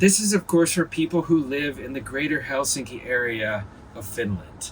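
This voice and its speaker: Against noticeable background noise, a man with fairly high pitch talks at a moderate pace, his intonation lively and his loudness swinging widely. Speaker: vlogger. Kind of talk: casual vlog monologue. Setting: in a parked van.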